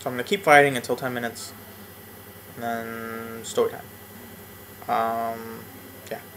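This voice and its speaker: The speaker moves at a moderate pace with long, frequent pauses, fairly even intonation and big swings in loudness, over noticeable background noise. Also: man, medium pitch for a man. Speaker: gaming YouTuber. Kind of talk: let's play commentary. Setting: home apartment. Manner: quiet, low volume; rambling with fillers.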